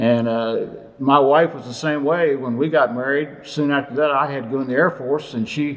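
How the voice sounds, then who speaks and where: Over noticeable background noise, a man with an American accent and a fairly high pitch speaks at a fairly quick pace with fairly even intonation. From Virginia Eastern Shore, Cape Charles. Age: 70s. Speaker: museum president and docent. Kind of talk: interview, personal memories.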